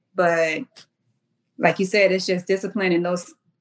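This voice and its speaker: With an American accent, a woman talks in a medium pitch. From US South, Charleston area, South Carolina. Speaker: military service member and fitness apparel entrepreneur. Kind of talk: casual interview.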